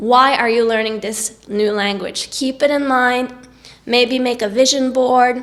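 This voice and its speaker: A woman with a Norwegian accent speaks at a high pitch and a fairly slow pace. Her intonation is monotone and flat, and there is noticeable background noise. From Norway. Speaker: singer and vlogger. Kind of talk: tutorial.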